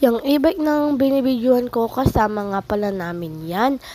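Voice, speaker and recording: A woman speaks at a moderate pace in a high voice with lively intonation. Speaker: vlogger. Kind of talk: casual vlog narration.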